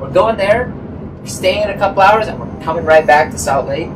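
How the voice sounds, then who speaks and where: A man is speaking. Noticeable background noise can be heard behind him. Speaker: travel vlogger. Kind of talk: casual vlog chat. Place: car. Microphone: camera far.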